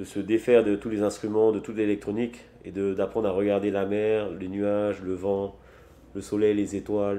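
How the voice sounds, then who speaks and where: At a moderate pace, a man talks in a flat monotone, his fairly low voice dark and mellow. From Tahiti, French Polynesia. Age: 30s. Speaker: sailor and traditional navigation entrepreneur. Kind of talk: interview. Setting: office. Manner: hesitant, many fillers.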